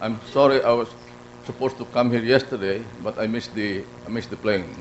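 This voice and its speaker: In a Filipino accent, a man with a medium pitch talks at a very fast pace. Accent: Filipino (Bicolano) English. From Philippines, Bicol region (Naga). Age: 80s+. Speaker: award honoree speaker. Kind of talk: speech at awards ceremony. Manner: halting, many restarts.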